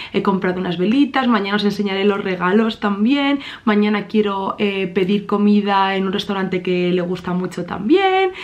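Fairly even intonation marks this woman's delivery. She talks at a moderate pace. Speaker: vlogger. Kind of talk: casual vlog chat. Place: home room.

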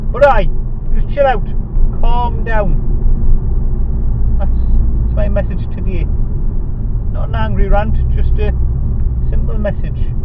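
A man speaks at a fairly slow pace with long, frequent pauses, his voice dry and echo-free against loud background noise. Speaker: driver vlogger. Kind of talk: comedic rant. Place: car. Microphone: camera far.

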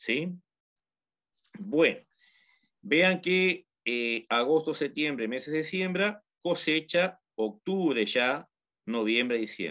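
Speaking very slowly with long, frequent pauses, a man with a Uruguayan accent has a fairly high pitch and a bright, sharp tone. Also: lively intonation. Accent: Uruguayan Rioplatense Spanish. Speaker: agronomist teaching home gardening. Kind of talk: tutorial.

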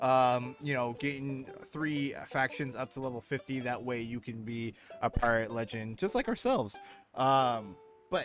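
Faint music plays in the background as a man speaks at a moderate pace with fairly even intonation, the sound dry with no echo. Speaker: game streamer host. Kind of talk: commentary. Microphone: headset.

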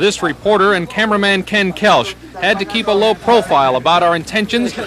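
A man with a serious tone and high pitch, at a fairly quick pace with ordinary pitch variation, over noticeable background noise. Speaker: TV news reporter. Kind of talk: 1980s TV news report narration. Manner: formal, measured, steady broadcast delivery; authoritative, even-paced, serious.

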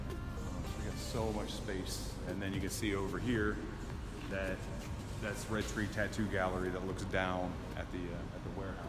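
A man at a moderate pace with ordinary pitch variation, clear music in the background. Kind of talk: casual walking tour commentary. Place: factory. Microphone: camera far.

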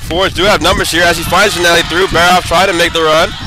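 Against noticeable background noise, a man with a high pitch speaks in an animated tone. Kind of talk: live sports commentary over match highlights. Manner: fast-paced, animated play-by-play delivery; rising excitement on big saves and goals.

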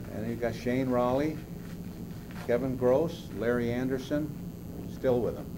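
A man speaks at a fairly slow pace with ordinary pitch variation. Noticeable background noise runs behind him. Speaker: interviewee. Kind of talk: interview answer. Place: meeting room. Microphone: old recording.

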